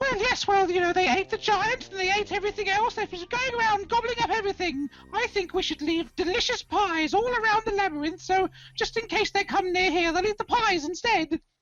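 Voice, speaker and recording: Squeaky and extremely high-pitched, the put-on character voice never drops lower. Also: fairly quick pace. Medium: actual play.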